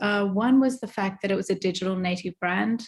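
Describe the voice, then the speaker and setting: On a very clean recording with a silent background, a woman with an Australian accent talks at a fairly quick pace in a somewhat breathy, medium-pitched voice with ordinary pitch variation. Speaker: retail merchandising executive. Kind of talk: interview.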